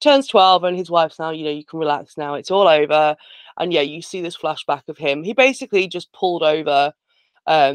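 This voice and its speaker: A woman speaks at a fairly quick pace in a very deep, low voice with ordinary pitch variation, the sound dry and close with no echo. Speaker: podcast host, horror film reviewer. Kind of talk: casual chat, film recap.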